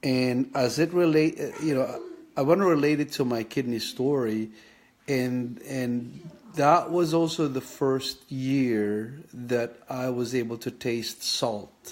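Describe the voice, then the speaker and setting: A man talks very slowly at a medium pitch, with ordinary pitch variation. Noticeable background noise sits behind him. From Philippines (Leyte, Visayas; raised in Manila). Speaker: kidney patient sharing his health journey. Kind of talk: personal vlog monologue. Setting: live Facebook video. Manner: halting, many fillers.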